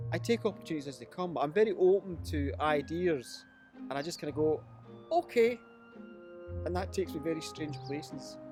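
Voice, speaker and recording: This man speaks with a Glasgow accent at a moderate pace. His pitch is fairly high, and music plays in the background. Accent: Scottish (Glasgow). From Glasgow, Scotland. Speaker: storyteller and writer. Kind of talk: interview answer.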